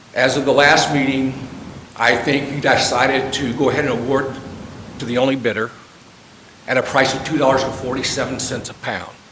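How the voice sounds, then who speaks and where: A man speaks at a medium pitch in a monotone, flat way, with long, frequent pauses. Noticeable background noise and audible room echo fill the recording. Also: fairly quick pace. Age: 60s. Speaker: chemical supplier speaking at public comment. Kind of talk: public comment at board meeting. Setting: public meeting. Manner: hesitant, with fillers.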